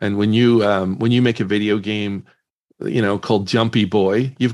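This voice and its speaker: A man speaks at a fairly quick pace with an American accent. His intonation stays fairly even. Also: quiet background. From Northern Ireland. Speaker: startup CEO and entrepreneur. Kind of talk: casual interview.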